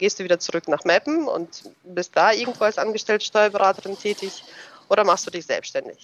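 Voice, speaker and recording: A woman speaks at a moderate pace. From Germany, moved from Russia at age ten. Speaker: tax advisor. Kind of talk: interview. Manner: hesitant, many filler sounds.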